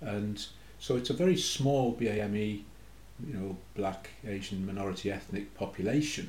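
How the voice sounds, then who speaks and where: The voice is somewhat breathy, with ordinary pitch variation and a fairly slow pace. There is audible room echo. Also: man, fairly low pitch for a man. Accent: Geordie. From Newcastle, northeast England. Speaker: academic researcher. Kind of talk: casual chat.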